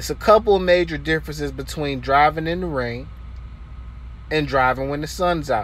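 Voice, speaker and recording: A man speaks at a fairly slow pace, the sound dry with no echo. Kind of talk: casual vlog tutorial. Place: car. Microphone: phone near.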